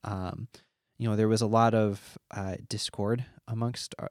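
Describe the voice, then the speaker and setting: A man's fairly low, monotone voice with flat intonation at a moderate pace, in a very clean recording with a silent background. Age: 20s. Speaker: math teacher and former missionary. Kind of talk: personal testimony interview. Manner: hesitant with many fillers.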